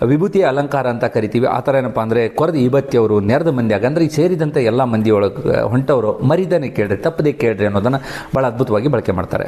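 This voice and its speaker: Amid noticeable background noise, a man speaks at a medium pitch with lively intonation and very even loudness. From North Karnataka, India. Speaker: book reviewer. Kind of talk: book review monologue.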